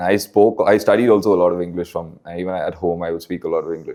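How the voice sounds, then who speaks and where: A man talks at a fairly quick pace with a Keralan accent. His tone is dark and mellow. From Bangalore, India. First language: Malayalam. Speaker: rapper. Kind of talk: casual interview.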